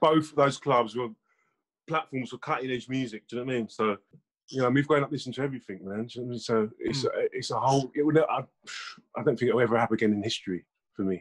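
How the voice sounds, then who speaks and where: In a London accent, the speaker talks at a very fast pace with ordinary pitch variation, the sound dry and close with no echo. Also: man, medium pitch for a man. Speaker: music producer. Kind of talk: casual chat. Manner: quiet, reserved.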